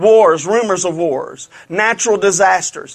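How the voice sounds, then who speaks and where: Speaking with a Louisiana accent, this man has a high pitch. His voice sits high throughout. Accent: Southern US (Louisiana). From Louisiana, US South. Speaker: preacher. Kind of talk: revival-style prophecy sermon to a live congregation, calling for amens. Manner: fervent, building repetition and emphasis; conversational, folksy asides.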